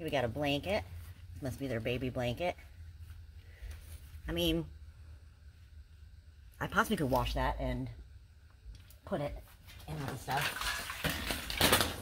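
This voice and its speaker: A woman speaks at a fairly slow pace with long, frequent pauses. Light background noise is present. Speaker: storage unit reseller vlogger. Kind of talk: casual vlog chat. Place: garage. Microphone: phone near.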